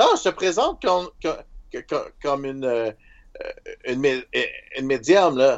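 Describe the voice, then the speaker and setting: A man's fairly high voice at a very slow pace, broken by long, frequent pauses. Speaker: roleplaying game player. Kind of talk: tabletop roleplaying game play.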